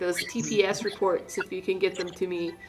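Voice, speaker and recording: A female-sounding, nasal put-on character voice at a middle pitch talks at a fairly quick pace over clear background noise. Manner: passive-aggressive, polite but pushy.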